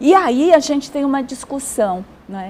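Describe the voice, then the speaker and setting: A woman with lively intonation, over noticeable background noise. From Brazil. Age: 60s. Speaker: social worker and gerontologist. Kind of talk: TV interview. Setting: TV studio.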